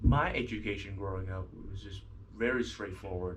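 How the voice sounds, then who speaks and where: In a Vietnamese accent, a man with a fairly low pitch speaks with fairly even intonation amid audible room echo. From Vietnam, Ho Chi Minh City. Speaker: student. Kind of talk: interview. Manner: halting.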